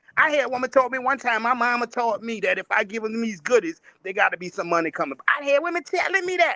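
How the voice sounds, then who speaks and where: Speaking very fast in a raised, projected voice, a man with an extremely high pitch and a bright, sharp tone swings his pitch very widely and hardly pauses. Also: dry, close sound with no echo. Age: 60s. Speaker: panelist on relationship talk show. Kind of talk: casual panel discussion.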